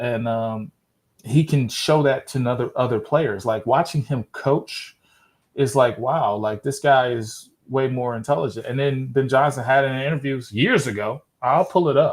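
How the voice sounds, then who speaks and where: A man with an American accent speaks in a somewhat breathy voice with ordinary pitch variation, captured in a very clean recording with a silent background. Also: medium pitch for a man, moderate pace. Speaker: football podcast host. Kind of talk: casual chat. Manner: halting.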